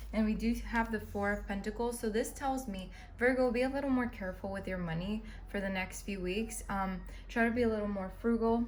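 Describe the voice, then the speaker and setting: Noticeable background noise and audible room echo surround a fairly quick delivery with fairly even intonation. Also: woman, fairly high pitch for a woman. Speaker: tarot reader. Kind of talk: tarot reading monologue. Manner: fast.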